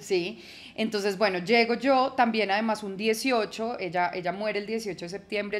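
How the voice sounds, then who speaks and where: In a Bogotá accent, a woman talks at medium pitch and a fairly quick pace. Her intonation is fairly even. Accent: Bogotá Colombian Spanish (rolo). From Colombia, Bogotá. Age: 30s. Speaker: journalist and podcaster. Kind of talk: casual interview chat.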